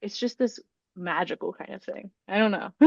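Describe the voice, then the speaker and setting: Soft-spoken and at a moderate pace, a woman talks with very wide pitch swings. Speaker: author and webtoon creator. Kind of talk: casual interview chat. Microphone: audio sometimes drops out when quiet.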